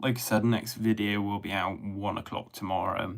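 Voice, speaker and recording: Here a man with a Bristol accent speaks at a moderate pace. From England, Bristol. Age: 30s. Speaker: drain cleaning YouTuber. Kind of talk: casual livestream chat. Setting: live stream at home. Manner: relaxed, rambling.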